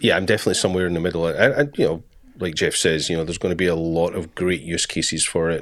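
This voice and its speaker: A man with a very deep, low pitch and a Scottish accent, at a very fast pace with fairly even intonation, on a very clean recording with a silent background. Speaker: podcast co-host. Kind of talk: casual chat.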